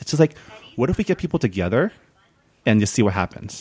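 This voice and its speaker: A man rattles along at a very fast pace with lively intonation, the sound dry and close with no echo. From California, San Gabriel. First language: non-English home language. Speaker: podcast host. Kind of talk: casual chat.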